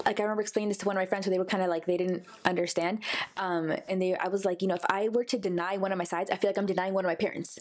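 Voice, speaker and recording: A woman with an American accent speaks in a monotone, flat intonation at a very fast pace. Her loudness stays very even over noticeable background noise. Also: medium pitch for a woman. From United States. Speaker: podcast co-host. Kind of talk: casual chat.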